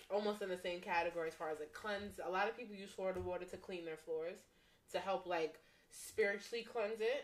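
Speaking very fast, a woman keeps her medium-pitched voice fairly even in intonation. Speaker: podcast co-host. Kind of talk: casual chat.

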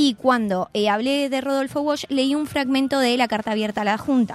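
An ordinary speaking voice, a woman talks at a fairly slow pace with ordinary pitch variation. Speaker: columnist on press freedom. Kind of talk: radio column talk.

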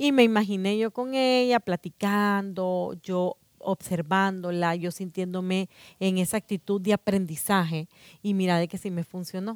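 A woman's medium-pitched voice, dry and close with no echo, on a very clean recording against a silent background. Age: 40s. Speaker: personal development speaker. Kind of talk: casual chat. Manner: halting, repeats words.

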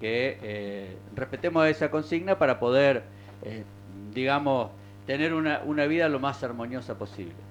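A man talks in an unremarkable speaking voice. His pitch is medium and varies in an ordinary way. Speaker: local radio host. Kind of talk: casual talk radio.

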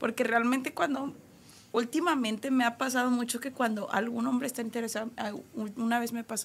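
With an unremarkable speaking voice, a woman talks at a fairly quick pace in a fairly high pitch and fairly even intonation. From Monterrey, Mexico. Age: 20s. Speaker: restaurant manager. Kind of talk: casual chat. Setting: studio.

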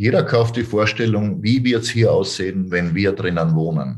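Male speech, somewhat breathy, its pitch swinging very widely. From Austria, Styria. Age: 40s. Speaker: real estate sales trainer. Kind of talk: interview.

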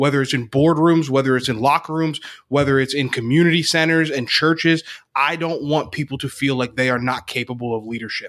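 An unremarkable speaking voice with an American accent moves at a moderate pace. The recording is very clean, with a silent background. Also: man. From Northeast Pennsylvania. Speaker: leadership coach. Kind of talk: interview.

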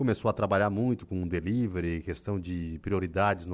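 With an ordinary speaking voice, a man talks at a moderate pace with a fairly low pitch and ordinary pitch variation against a quiet background. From southern Brazil, Santa Catarina. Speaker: radio journalist and host. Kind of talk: casual radio chat. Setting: radio studio.

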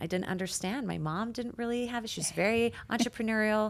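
Speaking in a plain, everyday voice, a woman keeps to a medium pitch and varies it in an ordinary way. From Canada. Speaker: nurse practitioner and doctor, story-sharing guest. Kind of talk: casual interview, personal testimony.

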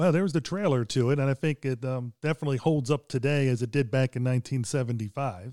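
On a very clean recording with a silent background and a dry, close sound with no echo, a man with an unremarkable speaking voice and medium pitch talks at a fairly quick pace, with ordinary pitch variation and hardly any pauses. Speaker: podcast co-host. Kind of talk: casual chat.

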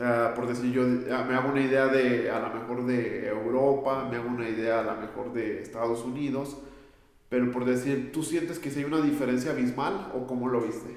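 There is audible room echo and noticeable background noise. A man at medium pitch speaks at a moderate pace with fairly even intonation. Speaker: podcast host. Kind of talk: interview.

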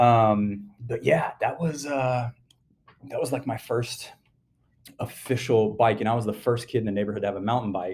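Somewhat breathy, a man talks with an American accent. His pitch is medium and his intonation fairly even. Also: moderate pace. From US South, Atlanta suburbs, Georgia. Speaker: mountain biker. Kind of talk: casual chat.

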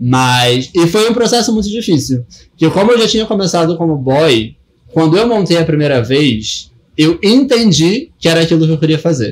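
Speaking at a moderate pace, a man with a high pitch makes very wide pitch swings while keeping his loudness very even. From Rio de Janeiro, West Zone. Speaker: DJ and drag performer. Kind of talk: casual interview.

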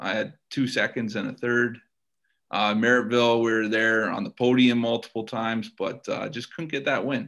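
An ordinary speaking voice with a Canadian accent. The pace is moderate. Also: man. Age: 30s. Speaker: race car driver. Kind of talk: interview. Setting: podcast recording.

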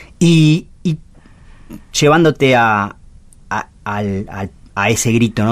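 A man's voice with lively intonation. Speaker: radio host. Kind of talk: interview. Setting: radio studio. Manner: halting.

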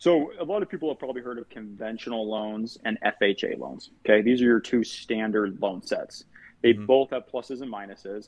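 A man with an American accent and a plain, everyday voice, fairly quick pace, ordinary pitch variation and big swings in loudness. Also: medium pitch for a man. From Utah. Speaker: loan officer. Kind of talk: casual interview.

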